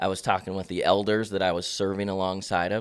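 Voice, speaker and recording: A man with an American accent and a very deep, low pitch talks at a fairly quick pace in a monotone, flat intonation, on a very clean recording with a silent background. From Central Oregon. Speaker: pastor. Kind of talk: casual chat.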